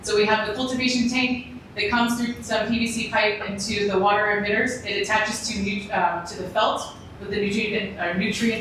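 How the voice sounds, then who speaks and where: Noticeable background noise and audible room echo surround this woman. Her voice sits at a fairly high pitch with fairly even intonation. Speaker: startup founder pitching hydroponic farm. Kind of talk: Q&A after startup pitch. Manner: fast.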